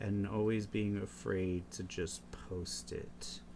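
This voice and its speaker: In a very slow, soft-spoken delivery, a man with a very deep, low pitch sounds somewhat breathy. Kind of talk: casual talk to camera, rambling while drawing. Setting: close mic, home recording. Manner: soft-spoken, slow, rambling.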